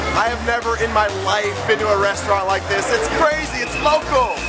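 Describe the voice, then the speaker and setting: The voice moves at a fairly quick pace. Music plays in the background. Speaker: travel host. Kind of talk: casual vlog chat. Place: bar.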